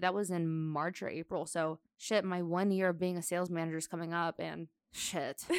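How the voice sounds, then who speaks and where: A woman with an ordinary speaking voice, medium pitch, and a fairly quick pace, in a dry, close sound with no echo on a very clean recording with a silent background. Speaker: podcast co-host. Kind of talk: casual chat.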